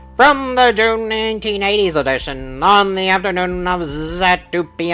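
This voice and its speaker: A man performs a put-on character voice. Light background noise sits behind him. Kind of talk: formal radio news reading.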